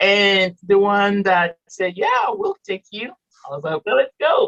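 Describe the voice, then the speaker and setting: In a French accent, a woman speaks at a fairly slow pace, and the sound is dry and close with no echo. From Morocco. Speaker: author and entrepreneur with a PhD. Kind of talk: casual interview.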